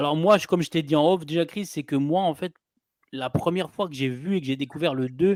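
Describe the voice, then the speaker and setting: A man speaks in a normal speaking voice, fairly high in pitch and with ordinary pitch variation. His pace is fairly quick, and the sound is dry and close with no echo. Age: 40s. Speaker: film channel host. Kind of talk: casual film discussion.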